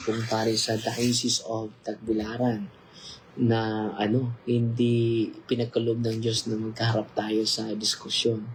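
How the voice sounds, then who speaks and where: The man's voice sits at medium pitch. His intonation is monotone and flat. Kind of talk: casual livestream interview.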